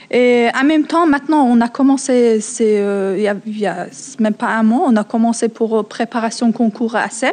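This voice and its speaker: Speaking at a moderate pace, a woman with a non-native accent uses a fairly high voice and ordinary pitch variation. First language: not French (speaking French). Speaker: French learner. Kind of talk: testimony. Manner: halting, many hesitations.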